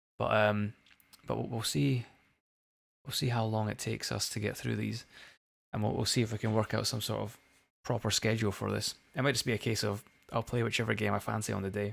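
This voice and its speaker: On a very clean recording with a silent background, a man with a fairly low pitch and vocal fry talks at a fairly quick pace in fairly even intonation, with long, frequent pauses. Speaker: video game streamer. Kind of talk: live gameplay stream chat. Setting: live stream. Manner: hesitant, many repetitions and fillers.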